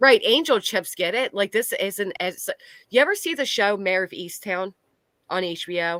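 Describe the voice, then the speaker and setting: On a very clean recording with a silent background and a dry, close sound without echo, a woman with an American accent talks at a moderate pace, her medium-pitched voice bright and sharp with lively intonation. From Delaware County, Pennsylvania (Philadelphia area). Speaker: live streamer. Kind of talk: casual chat on a livestream.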